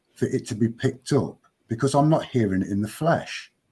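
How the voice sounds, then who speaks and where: A man talks with very wide pitch swings in a somewhat breathy voice. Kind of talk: podcast conversation.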